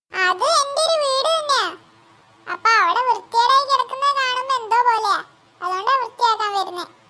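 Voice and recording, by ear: A female-sounding voice performs a cartoonish character at a moderate pace. The pitch is extremely high for a woman.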